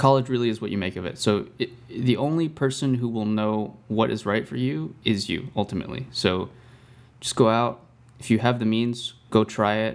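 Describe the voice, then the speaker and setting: A man with a normal speaking voice speaks at a medium pitch and a moderate pace, with ordinary pitch variation. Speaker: podcast host, film student. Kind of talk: casual chat.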